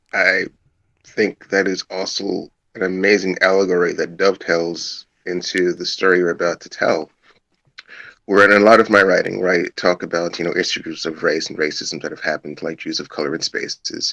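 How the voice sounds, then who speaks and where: A man with an American accent speaks at a moderate pace, his loudness swinging widely in a dry, close recording with no echo. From US Northeast (Brooklyn, Crown Heights). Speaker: writer and guest. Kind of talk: casual chat.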